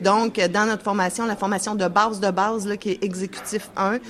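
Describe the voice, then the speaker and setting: A woman with a medium-pitched voice talks while noticeable noise fills the background. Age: 40s. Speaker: union representative. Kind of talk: interview.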